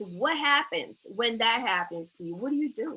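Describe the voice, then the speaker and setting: A woman speaks fairly slowly with an American accent. Her voice is raised and projected. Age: 50s. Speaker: therapist and talk show host. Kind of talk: live talk show interview. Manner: animated storytelling.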